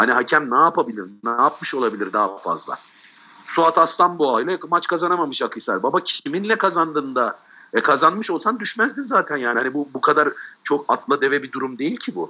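A man's bright, sharp voice, fairly high in pitch, with very wide pitch swings at a fairly quick pace. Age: 30s. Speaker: football pundit. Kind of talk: casual chat.

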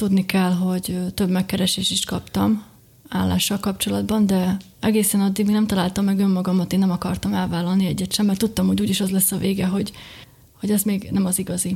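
A woman keeps a very even loudness and monotone, flat intonation, talking at a fairly quick pace and medium pitch. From Slovakia, Bodrogköz (Hungarian minority). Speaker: beekeeper and small business owner. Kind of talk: interview.

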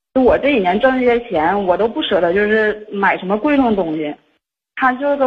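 A woman speaks at a fairly high pitch with a northeastern Chinese accent. Her fairly quick, somewhat breathy delivery has lively intonation. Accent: northeastern Mandarin. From Liaoning, northeast China (Xinmin). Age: 30s. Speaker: caller seeking advice. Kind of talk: phone-in advice call. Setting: phone call. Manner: fast-talking.

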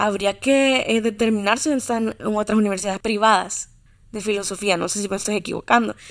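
A Salvadoran accent marks this woman's speech, which is fairly quick, fairly high in pitch and fairly even in intonation. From El Salvador, Santa Ana. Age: 20s. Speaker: literature enthusiast. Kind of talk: casual interview chat.

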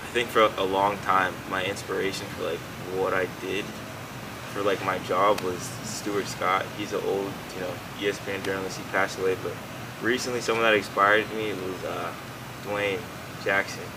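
Noticeable background noise and audible room echo surround a man with an American accent who speaks in a fairly low, monotone, flat voice at a moderate pace, with long, frequent pauses. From Southwest Florida, Fort Myers. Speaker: sports reporter. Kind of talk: casual chat. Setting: in person, Miami.

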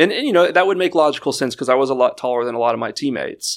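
A man talks with an American accent. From Houston, Texas. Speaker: former contestant on dating show, amputee athlete. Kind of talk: casual chat.

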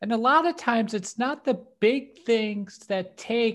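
A woman's unremarkable speaking voice with lively intonation at a fairly slow pace. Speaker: podcast co-host comedian. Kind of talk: casual chat.

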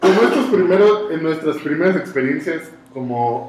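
Over noticeable background noise and audible room echo, a man with a Mexican accent talks at a fairly slow pace with ordinary pitch variation. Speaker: podcast host. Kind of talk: casual chat.

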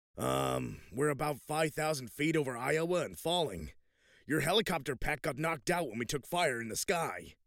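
Delivered at a moderate pace, this put-on character voice comes through a very clean recording with a silent background. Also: man, fairly high pitch for a man. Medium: read story. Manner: brash, excitable.

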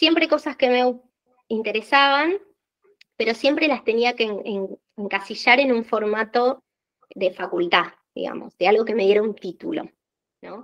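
In a Rioplatense accent, a woman speaks at a fairly slow pace and a fairly high pitch, with lively intonation and long, frequent pauses. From Argentina. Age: 30s. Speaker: office worker and small business owner. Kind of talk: interview.

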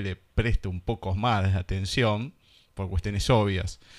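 An Argentine accent with fairly even intonation, in a very clean recording with a silent background. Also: man. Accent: Argentine Spanish (voseo). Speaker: radio host. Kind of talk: radio interview. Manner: halting.

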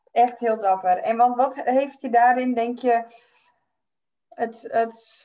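A woman speaks at a very slow pace with long, frequent pauses, her pitch high and her intonation fairly even. Her tone is dark and mellow. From Friesland, Netherlands. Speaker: podcast host and life coach. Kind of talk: casual chat.

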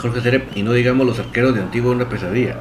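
A man at medium pitch talks at a very fast pace over noticeable background noise, with audible room echo. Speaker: football fan podcast host. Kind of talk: live-streamed casual football talk. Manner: enthusiastic.

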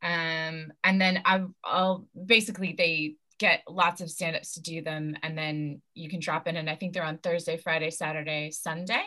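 Bright and sharp, the voice speaks at a moderate pace with an American accent and hardly any pauses. Its intonation is monotone and flat, while its loudness swings widely. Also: woman, fairly low pitch for a woman. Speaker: stand-up comedian and actor. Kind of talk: casual interview chat.

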